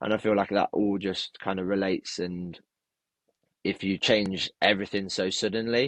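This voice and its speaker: A man mumbles at a moderate pace. His pitch is fairly low and his intonation monotone and flat. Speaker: personal trainer. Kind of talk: casual interview chat. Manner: mumbling.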